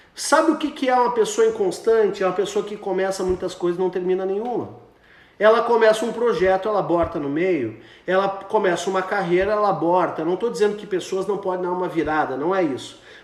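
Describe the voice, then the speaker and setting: There is audible room echo around a man with a high pitch. He talks at a fairly quick pace with ordinary pitch variation. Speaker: pastor. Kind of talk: sermon. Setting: Instagram live video stream.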